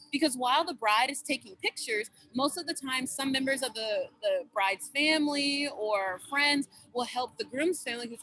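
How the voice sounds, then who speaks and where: A woman's raised, projected voice, high-pitched and animated, with a bright, sharp tone, ordinary pitch variation, a moderate pace and a dry, close sound free of echo. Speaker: student club presenter. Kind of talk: club presentation over video call. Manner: loud.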